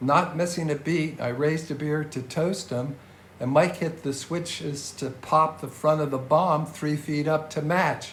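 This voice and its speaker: A man speaks fairly slowly in a fairly high, somewhat breathy voice. His intonation is fairly even, and audible room echo is present. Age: 70s. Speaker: podcast host. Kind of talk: scripted narration.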